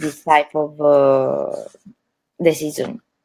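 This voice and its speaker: With an Italian accent, a woman speaks very slowly with fairly even intonation. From Puglia, southern Italy. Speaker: winery owner. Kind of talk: livestream interview. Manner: halting, repetitive.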